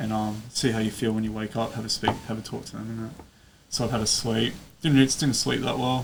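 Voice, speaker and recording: A man with an Australian accent speaks at medium pitch and a fairly quick pace, his intonation monotone and flat, with big swings in loudness and noticeable background noise. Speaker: ultramarathon runner. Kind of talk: casual interview storytelling. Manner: halting, many fillers.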